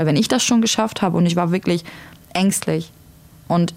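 Fairly low in pitch with fairly even intonation, a woman speaks in an unremarkable speaking voice. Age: 20s. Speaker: single mother sharing experience of domestic violence. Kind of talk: personal testimony in podcast conversation.

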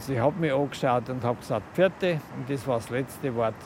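Amid noticeable background noise, a man speaks at a fairly quick pace and medium pitch with ordinary pitch variation. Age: 50s. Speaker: relative of deceased care home resident. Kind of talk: interview. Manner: halting.

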